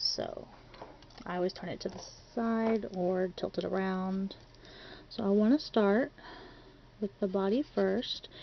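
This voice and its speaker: The speech moves at a fairly slow pace, broken by long, frequent pauses. Pitch variation is ordinary. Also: woman, medium pitch for a woman. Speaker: crafting tutorial creator. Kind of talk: tutorial. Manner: chatty.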